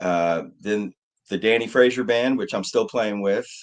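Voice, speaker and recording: Against a quiet background, a man with an American accent uses an ordinary speaking voice at a fairly low pitch. His pace is moderate and his pitch varies in an ordinary way. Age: 60s. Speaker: musician, keyboard player. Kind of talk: casual interview.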